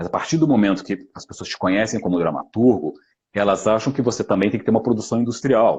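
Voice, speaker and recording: Talking very fast, a man with a fairly low voice shows ordinary pitch variation and big swings in loudness. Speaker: actor and voice actor. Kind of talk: live stream talk. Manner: halting.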